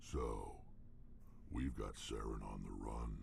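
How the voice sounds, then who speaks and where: A man puts on a character voice at a fairly slow pace. Loud background noise runs underneath. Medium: video game. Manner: blunt, terse.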